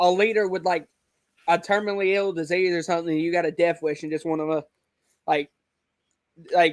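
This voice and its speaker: A man with a Southern US accent speaks in a high pitch with monotone, flat intonation. His pace is fairly quick, broken by long, frequent pauses. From US South, Alabama. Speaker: online wrestling league creator. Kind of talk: casual interview chat. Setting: video call.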